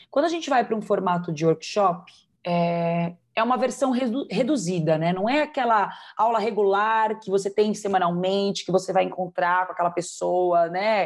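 Over a quiet background, a woman uses an ordinary speaking voice at a medium pitch and moderate pace with ordinary pitch variation. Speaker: belly dance teacher and performer. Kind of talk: interview.

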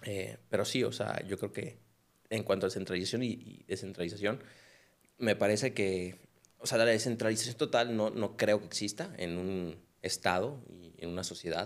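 This man has a normal speaking voice. His pitch sits fairly low. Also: ordinary pitch variation, moderate pace. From Mexico, Culiacán (Sinaloa). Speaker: compliance lawyer. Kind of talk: casual chat.

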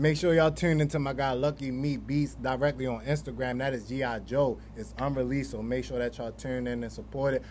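At a fairly quick pace, a man talks with hardly any pauses. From Baltimore, US. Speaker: podcast host. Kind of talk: casual interview. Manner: animated.

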